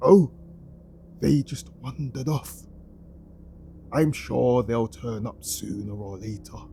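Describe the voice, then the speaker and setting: Using a put-on character voice at medium pitch, a man speaks at a fairly slow pace with long, frequent pauses over clear background noise. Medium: read story. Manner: evasive, quietly unsettling.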